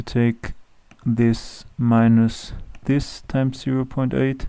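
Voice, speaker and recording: The speaker goes at a very slow pace in a German accent. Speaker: Excel tutorial creator. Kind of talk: tutorial. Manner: hesitant with fillers.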